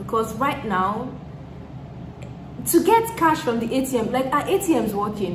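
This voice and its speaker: A woman speaks with a Nigerian accent. Audible room echo and noticeable background noise accompany her. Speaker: YouTuber. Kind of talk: Q&A vlog chat.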